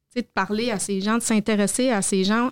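With a plain, everyday voice, a woman speaks at a moderate pace and medium pitch with fairly even intonation, in a dry, close sound with no echo on a very clean recording with a silent background. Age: 40s. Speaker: vocational training center director. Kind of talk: interview.

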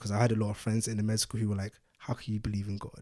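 With a London accent, a man talks at a very fast pace. His pitch is medium. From London, England (born in Nigeria, moved at six). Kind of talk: casual chat.

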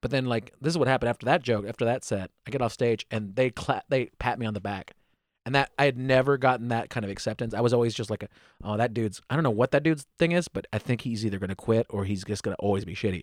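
A man with an American accent at medium pitch, with ordinary pitch variation and a very fast pace, in a dry, close sound with no echo on a very clean recording with a silent background. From United States. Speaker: stand-up comedian. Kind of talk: casual chat.

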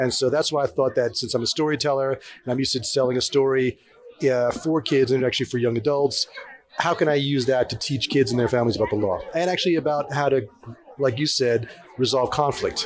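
Over noticeable background noise, a man speaks at a fairly quick pace with fairly even intonation and very even loudness. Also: medium pitch for a man. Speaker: comics artist and author. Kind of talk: interview. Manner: casual.

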